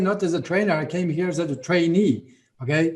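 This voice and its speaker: A man with a Latvian accent talks at a moderate pace in a high pitch for a man. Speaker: network marketing leader. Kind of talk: motivational talk on a video call. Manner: halting.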